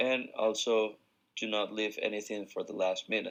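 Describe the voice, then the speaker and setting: This man talks with a Spanish accent. His pace is moderate. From Ecuador. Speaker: university student athlete. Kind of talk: class presentation.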